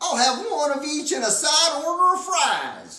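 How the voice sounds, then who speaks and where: A woman uses a put-on character voice, high-pitched and raised to project. She speaks at a moderate pace with slight echo. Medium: read story. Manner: folksy, drawling.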